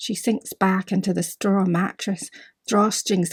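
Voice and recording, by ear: A natural voice reading aloud against a quiet background, its intonation fairly even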